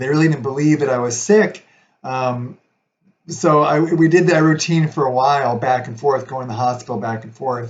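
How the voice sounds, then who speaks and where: A somewhat breathy male voice at a moderate pace, with fairly even intonation. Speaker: video blogger sharing chronic illness story. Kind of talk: personal testimony. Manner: hesitant, many fillers.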